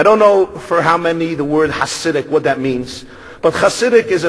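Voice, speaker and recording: With a Brooklyn accent, a man talks at a fairly quick pace in a fairly high pitch and lively intonation over noticeable background noise. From Brooklyn, New York. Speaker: rabbi. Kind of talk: speech.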